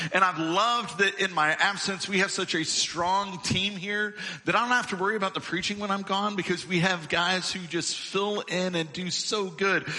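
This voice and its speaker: A raised, projected voice moves at a moderate pace with hardly any pauses and fairly even intonation, over noticeable background noise. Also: man, high pitch for a man. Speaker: lead minister. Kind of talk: church welcome and introduction. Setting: church.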